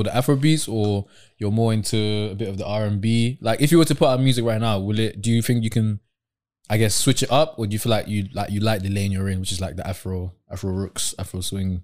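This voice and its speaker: A man speaks with a British accent at a fairly quick pace. His pitch is fairly low, with ordinary variation. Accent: British urban. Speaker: podcast host. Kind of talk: casual chat.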